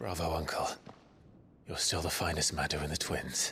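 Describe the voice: A man in a put-on character voice, pitched extremely low. His tone is bright and sharp, with fairly even intonation at a moderate pace.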